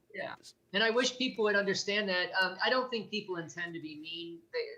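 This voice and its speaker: Projecting a raised voice at a fairly quick pace, a man with an American accent speaks high in pitch with ordinary pitch variation. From US Midwest, Gary, Indiana. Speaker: abuse survivor and advocate. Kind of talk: interview testimony. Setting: video call. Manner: halting.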